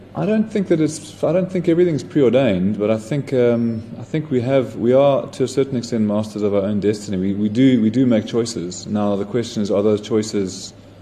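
With hardly any pauses, a man talks fairly quickly at medium pitch with lively intonation over noticeable background noise. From South Africa, Johannesburg. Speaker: winemaker. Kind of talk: interview.

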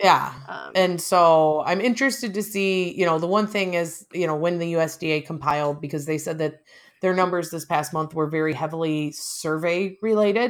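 With an American accent and an unremarkable speaking voice, a woman speaks at a fairly low pitch and a moderate pace with hardly any pauses. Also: ordinary pitch variation. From US Midwest, small town. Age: 30s. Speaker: podcast host, farm wife. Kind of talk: casual chat.

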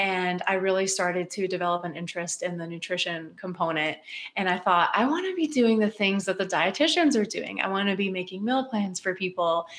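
A woman with an American accent and medium pitch, an ordinary speaking voice, talks at a fairly quick pace with hardly any pauses. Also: ordinary pitch variation. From West Virginia. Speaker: dietitian. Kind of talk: casual interview chat.

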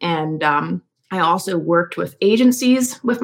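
The woman has a plain, everyday voice. Her pitch is medium. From US, Philadelphia suburbs, Pennsylvania. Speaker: copywriter and marketing strategist. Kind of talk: interview conversation.

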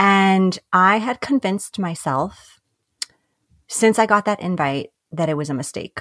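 In an American accent, a woman speaks at a fairly slow pace with lively intonation, in a dry, close sound with no echo. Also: medium pitch for a woman. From New York. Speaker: life and business coach. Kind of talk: casual chat.

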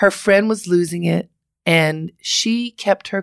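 A woman uses a plain, everyday voice, fairly low in pitch, with lively intonation at a fairly slow pace. The recording is very clean with a silent background and a dry, close sound with no echo. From Baltimore, Maryland. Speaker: advice columnist and radio host. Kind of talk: interview.

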